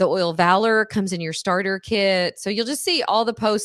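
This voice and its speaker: Here a woman talks at a fairly quick pace and medium pitch with fairly even intonation. The background is quiet. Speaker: wellness educator and product distributor. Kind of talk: livestream class with sales pitch. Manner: fast.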